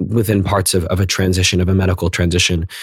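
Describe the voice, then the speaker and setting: A man's very deep, low, somewhat breathy voice in a General American accent, monotone and flat, at a very fast pace. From US, northern Virginia (McLean, near DC). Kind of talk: interview.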